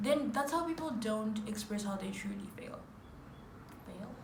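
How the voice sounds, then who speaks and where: Room echo is audible and background noise noticeable as a woman talks fairly slowly. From Zimbabwe. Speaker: YouTuber. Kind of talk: casual chat.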